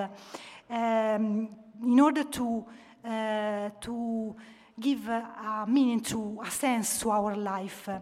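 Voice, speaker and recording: Her voice is pitched fairly high. This woman keeps a monotone, flat intonation throughout. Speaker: author. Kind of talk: lecture. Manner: halting.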